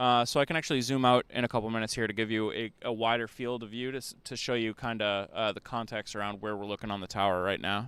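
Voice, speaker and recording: A man with an American accent at a very fast pace, medium pitch, fairly even intonation and hardly any pauses, on a very clean recording with a silent background. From US Northeast. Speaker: livestream host. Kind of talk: live commentary. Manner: slurred, sounds drunk.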